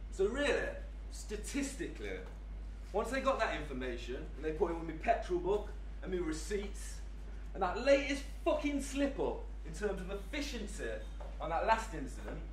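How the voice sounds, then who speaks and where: Speech moves at a moderate pace, broken by long, frequent pauses. Light background noise and audible room echo are present. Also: man. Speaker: actor performing a monologue. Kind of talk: theatrical monologue in character. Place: hall.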